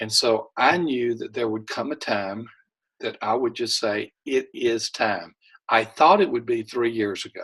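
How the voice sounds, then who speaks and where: Pitched at a medium level, a man speaks at a fairly slow pace with ordinary pitch variation. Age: 60s. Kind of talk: interview. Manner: halting.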